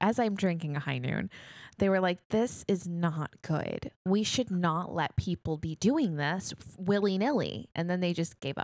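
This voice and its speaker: Here is a woman with a normal speaking voice, fairly low in pitch, talking at a fairly slow pace with ordinary pitch variation. The recording is very clean, with a silent background and a dry, close sound with no echo. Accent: American. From New York, Queens. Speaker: podcast co-host. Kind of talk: casual chat.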